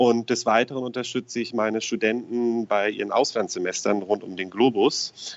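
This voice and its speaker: The man has an unremarkable speaking voice with medium pitch. He keeps a moderate pace, his intonation fairly even. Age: 30s. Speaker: financial advisor. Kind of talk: interview. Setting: phone call.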